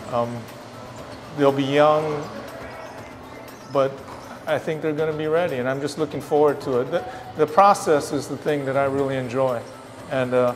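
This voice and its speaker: Music plays in the background as a man talks at a moderate pace. His intonation is fairly even, with long, frequent pauses. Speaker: basketball head coach. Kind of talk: interview answer. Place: hall. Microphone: lapel.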